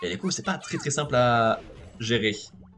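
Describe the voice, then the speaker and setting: Noticeable background noise accompanies a man speaking at medium pitch. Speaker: video game streamer. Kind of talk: casual chat.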